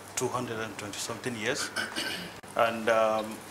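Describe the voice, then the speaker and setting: A man with a Nigerian accent speaks at medium pitch and a fairly quick pace, his intonation monotone and flat. Noticeable background noise and audible room echo fill the recording. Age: young. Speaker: guest speaker, politically interested diaspora Nigerian. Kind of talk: speech to a group.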